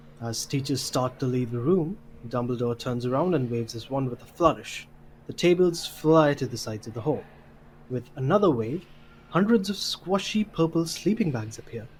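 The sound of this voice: A man speaks with lively intonation. His tone is slightly mellow. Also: medium pitch for a man, moderate pace.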